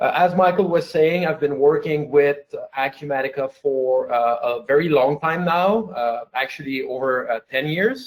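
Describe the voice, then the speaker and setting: At a moderate pace, the speaker talks with a slight French Canadian accent and ordinary pitch variation. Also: man, fairly high pitch for a man. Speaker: software company founder. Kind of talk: webinar presentation. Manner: hesitant, many fillers.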